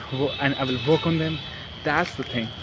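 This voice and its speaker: A man at a fairly high pitch and moderate pace, with noticeable background noise. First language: not English. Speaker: self-improvement vlogger. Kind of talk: casual vlog talk. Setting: outdoors in a park. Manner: halting.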